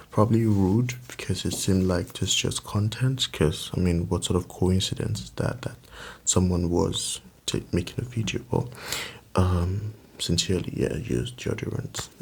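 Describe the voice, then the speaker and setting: A soft-spoken man's very deep, low voice with vocal fry and lively intonation. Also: moderate pace. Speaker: ASMR creator. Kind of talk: soft-spoken ASMR chat. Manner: rambling, casual.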